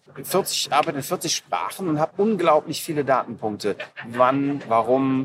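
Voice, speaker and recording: A man with a medium pitch speaks at a fairly slow pace. His intonation is lively. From Germany, Aachen. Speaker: podcast host. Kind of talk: casual interview. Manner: halting.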